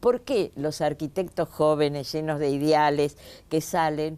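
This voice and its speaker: Over a silent background on a very clean recording, a woman speaks with a very deep, low pitch. Her tone is dark and mellow, her pace fairly slow. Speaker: TV host. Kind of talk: TV interview. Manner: animated, interrupting.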